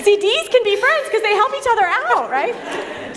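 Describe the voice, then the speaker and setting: Over noticeable background noise, a woman speaks in an animated tone at a moderate pace. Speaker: women's ministry event host. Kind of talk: church women's event talk with panel.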